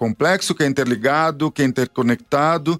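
The speech moves at a moderate pace with ordinary pitch variation and a dry, close sound with no echo. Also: man. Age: 40s. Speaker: radio host. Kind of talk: radio talk show. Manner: halting.

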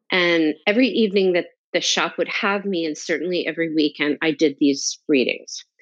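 Talking at a fairly quick pace, a woman with an American accent has a plain, everyday voice and ordinary pitch variation. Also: fairly low pitch for a woman. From North New Jersey, US. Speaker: tarot teacher and entrepreneur. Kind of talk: interview, personal life story.

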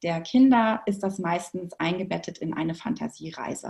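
In a somewhat breathy voice, a woman speaks at a moderate pace and a medium pitch. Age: 40s. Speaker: movement educator for children. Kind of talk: interview.

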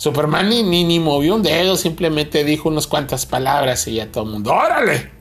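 Amid noticeable background noise, a man with a Mexican accent talks at a fairly quick pace and a fairly high pitch, his tone animated, his intonation lively and his loudness very even. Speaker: podcast co-host, film reviewer. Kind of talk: casual comedic chat. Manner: animated, laughing.

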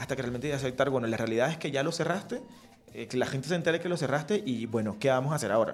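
Talking very fast at a fairly high pitch, a man shows ordinary pitch variation over noticeable background noise. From Colombian Caribbean coast, Riohacha, La Guajira. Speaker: entrepreneurship lecturer. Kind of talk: radio interview. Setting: radio studio.

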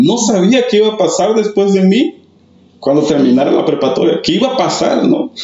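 A man with a high voice talks at a fairly quick pace, his pitch swinging very widely while his loudness stays very even over noticeable background noise. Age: 30s. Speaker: church youth mentor. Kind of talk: testimony.

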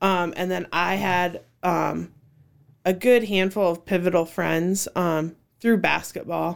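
A woman with an American accent, fairly low pitch, a flat monotone delivery, and a very slow pace. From Cedar Falls, Iowa. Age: 30s. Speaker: children's ministry worker. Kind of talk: casual interview.

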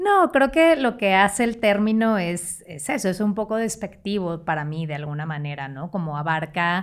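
Speaking with a Monterrey accent at a moderate pace, a woman with a medium-pitched voice makes very wide pitch swings and hardly pauses. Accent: Monterrey (norteño). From Mexico, Monterrey (San Pedro Garza García). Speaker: consultant. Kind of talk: casual chat.

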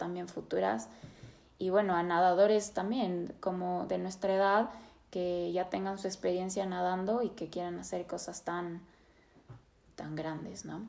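A woman talks at a fairly slow pace. Hers is a plain, everyday voice with a fairly low pitch. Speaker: psychotherapist and podcast host. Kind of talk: interview.

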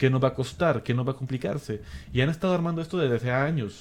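This man has an unremarkable speaking voice. His pitch is medium, with ordinary variation. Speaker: podcast co-host. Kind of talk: casual chat.

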